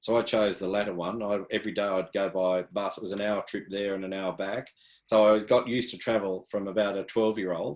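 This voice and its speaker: On a very clean recording with a silent background, a man with an Australian accent speaks at a moderate pace in a fairly low pitch. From country New South Wales, Australia (Yass). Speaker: athletics coach. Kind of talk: interview.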